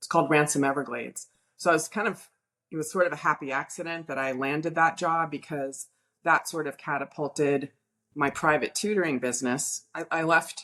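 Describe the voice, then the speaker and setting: A woman with an American accent speaks in a very deep, low voice with a bright, sharp tone. Her intonation stays fairly even against a quiet background. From US South, Miami, Florida. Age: 60s. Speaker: math tutor. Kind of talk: interview. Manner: halting.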